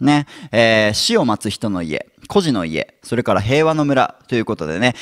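Very wide pitch swings mark this man's speech. He moves at a fairly quick pace over a quiet background. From Japan. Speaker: YouTuber explaining history topics. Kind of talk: educational lecture-style monologue. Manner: frequent fillers and sentence-final ね. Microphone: handheld.

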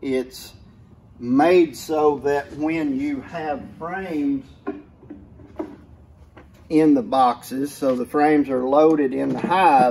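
A man talks very slowly at a fairly high pitch, with long, frequent pauses and fairly even intonation. His tone is slightly mellow with a slightly husky edge.

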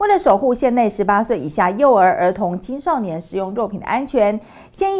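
A woman speaks with lively intonation. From Taiwan. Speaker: news anchor. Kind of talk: news reading. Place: studio.

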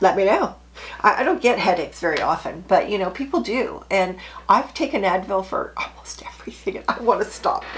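A woman talks at a fairly quick pace and medium pitch. Her intonation is lively. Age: 60s. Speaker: sewing YouTuber. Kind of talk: casual chat. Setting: home sewing room. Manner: animated. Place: home room.

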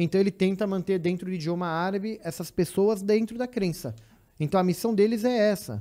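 Someone with a São Paulo accent speaks at a fairly quick pace over a quiet background. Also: man. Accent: Brazilian Portuguese, São Paulo (paulistano). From São Paulo city, Brazil. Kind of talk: casual chat. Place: studio. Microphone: studio mic.

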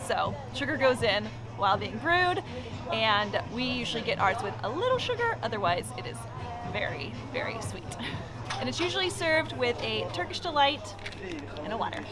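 Clear music plays in the background. A woman speaks at a fairly quick pace. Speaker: travel vlogger. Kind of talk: casual vlog chat. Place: street. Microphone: phone near.

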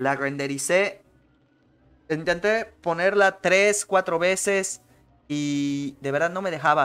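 Over faint music in the background, a man with a fairly high pitch talks at a fairly slow pace, leaving long, frequent pauses. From Mexico. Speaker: podcast host. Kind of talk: casual chat. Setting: livestream with webcam. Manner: animated. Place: home room. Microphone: studio mic.

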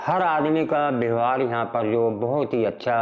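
A man speaks at a fairly slow pace with ordinary pitch variation, faint music playing in the background. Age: 70s. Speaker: patient giving testimonial. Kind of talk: testimony. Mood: grateful, warm.

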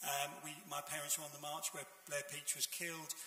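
Speaking at a very fast pace with a high pitch, a man is heard with audible room echo. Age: 70s. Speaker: audience member. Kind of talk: audience question. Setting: stage with audience. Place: hall.

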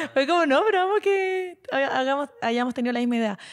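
High, sweeping pitch from a woman, swinging very widely, delivered at a moderate speed. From southern Chile, Puerto Montt area; Chile. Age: 20s. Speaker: internet personality; podcast co-host. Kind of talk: casual chat. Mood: playful storytelling, gossip. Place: studio. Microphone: handheld.

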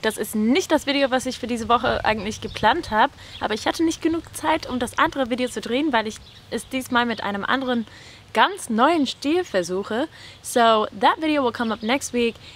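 A woman with a high pitch speaks at a fairly quick pace with lively intonation. The sound is dry, with no echo. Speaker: YouTuber and language tutor. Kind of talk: casual chat. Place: garden.

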